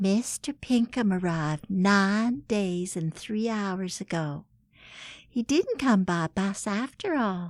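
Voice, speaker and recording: A woman speaks very slowly in a Southern US accent, her medium pitch moving with ordinary variation, in a very clean recording with a silent background and a dry, close sound with no echo. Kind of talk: comedic scripted letter reading.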